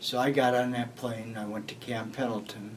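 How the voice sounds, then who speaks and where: At a very slow pace, the speaker talks with an American accent and fairly even intonation, with audible room echo. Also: man. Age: 70s. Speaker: war veteran. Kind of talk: oral history interview.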